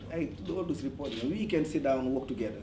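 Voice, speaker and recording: A man talks at a fairly quick pace with ordinary pitch variation. Noticeable background noise and audible room echo fill the recording. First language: French. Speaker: parent at community meeting. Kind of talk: community meeting testimony. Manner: halting.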